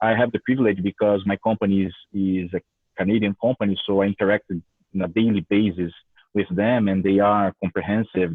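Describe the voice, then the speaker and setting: A man with a Brazilian Portuguese accent talks at a moderate pace, fairly low in pitch and fairly even in intonation. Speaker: university professor. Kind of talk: lecture. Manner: repetitive, hesitant.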